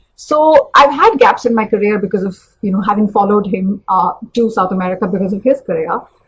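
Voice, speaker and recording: Somewhat breathy, the voice moves at a fairly quick pace. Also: woman, fairly high pitch for a woman, ordinary pitch variation. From India, New Delhi. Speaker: career coach. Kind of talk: live webinar talk.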